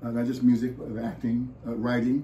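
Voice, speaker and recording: Somewhat breathy and dark, mellow in tone, a man with an American accent speaks in a monotone, flat intonation with audible room echo. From US West Coast, San Francisco Bay Area. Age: 70s. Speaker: musician and actor. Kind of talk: interview.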